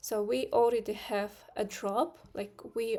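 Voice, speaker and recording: A woman with a non-native accent speaks in a dark, mellow tone at a fairly high pitch, on a very clean recording with a silent background. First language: not English. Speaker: trading streamer. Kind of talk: live stream market analysis. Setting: live stream with screen share. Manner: hesitant, many fillers.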